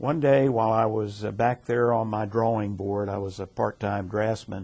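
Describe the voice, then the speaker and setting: A man with an American accent and fairly low pitch talks at a moderate pace with fairly even intonation. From Baltimore, Maryland. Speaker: retired engineer, former society president. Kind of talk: interview. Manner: hesitant, many fillers.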